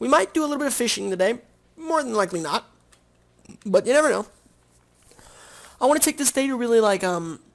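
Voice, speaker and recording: In a playful tone, a man talks at a very fast pace with an extremely high pitch and very wide pitch swings, broken by long, frequent pauses. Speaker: gaming video creator. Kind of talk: let's play commentary. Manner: casual, playful sound effects; slurring words.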